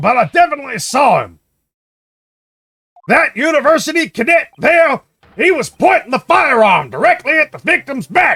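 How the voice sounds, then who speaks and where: A man's put-on character voice, extremely high in pitch, at a moderate pace with long, frequent pauses. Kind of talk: army drill voice. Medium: game stream. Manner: barking, clipped, ends lines with sir.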